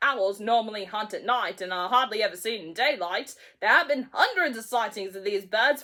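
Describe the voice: The clip consists of plain reading aloud.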